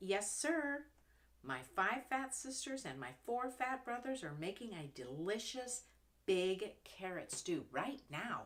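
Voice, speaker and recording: Fairly slow delivery in a put-on character voice. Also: female-sounding voice, high pitch for a woman. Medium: read story. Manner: eager, friendly.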